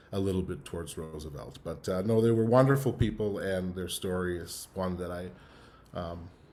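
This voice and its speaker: Heard with audible room echo, a man talks at a moderate pace in a very deep, low voice with a dark, mellow tone, ordinary pitch variation and big swings in loudness. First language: Yiddish. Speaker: musician. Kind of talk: online talk, personal story. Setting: online event. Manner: halting, many fillers and repeats.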